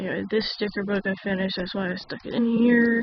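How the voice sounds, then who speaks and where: There is noticeable background noise in this clip. A woman speaks at a medium pitch. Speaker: journaling YouTuber. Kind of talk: casual talk to camera.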